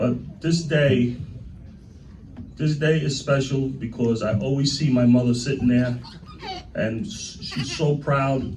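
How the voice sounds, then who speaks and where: A man's medium-pitched voice at a moderate pace, with ordinary pitch variation, audible room echo and noticeable background noise. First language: Italian (Sicilian). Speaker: union president. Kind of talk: speech to members at a celebration. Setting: union hall event with audience. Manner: informal, repetitive.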